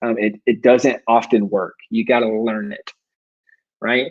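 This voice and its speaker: A man speaks with an American accent in an unremarkable speaking voice. His intonation is lively. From US South, South Carolina. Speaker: self-publishing coach, business owner. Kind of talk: online workshop presentation. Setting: live video stream. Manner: fast.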